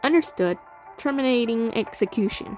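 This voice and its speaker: A woman does a robotic, put-on character voice at a fairly high pitch and a moderate pace. Clear music plays in the background. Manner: flat, mechanical.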